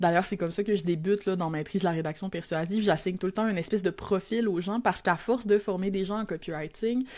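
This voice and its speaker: A woman with a Quebec accent at medium pitch, very fast, fairly even in intonation, on a very clean recording with a silent background. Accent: Québécois, reclaimed. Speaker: copywriter and teacher. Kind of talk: podcast interview. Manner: casual, Quebec colloquial.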